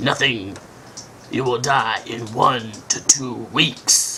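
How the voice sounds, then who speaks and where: A cartoonish character voice at a low-to-middle pitch moves at a very slow pace over clear background noise. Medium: puppet.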